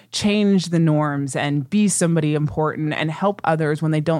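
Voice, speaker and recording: Recorded very cleanly over a silent background, a woman with an American accent speaks at a very deep, low pitch with ordinary pitch variation. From US Midwest, Ohio. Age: 30s. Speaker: podcast host. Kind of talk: casual chat. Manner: animated.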